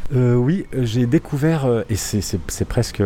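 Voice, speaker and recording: This man's pitch varies in an ordinary way, with noticeable background noise behind him. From Switzerland, Lausanne area. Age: 30s. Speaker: bookshop customer on holiday. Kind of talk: casual interview. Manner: halting, with repetitions and fillers.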